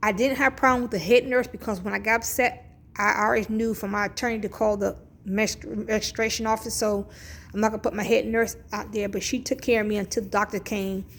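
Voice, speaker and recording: The speech comes at a very fast pace with fairly even intonation. Vocal fry runs through the voice. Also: woman, fairly high pitch for a woman. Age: 50s. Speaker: vlogger. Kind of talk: casual vlog rant. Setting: at a hospital.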